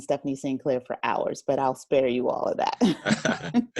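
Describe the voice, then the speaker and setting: Here a woman with an American accent speaks at a fairly slow pace. The recording is very clean, with a silent background. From South Jersey, US. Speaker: writer and audio drama producer. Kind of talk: interview.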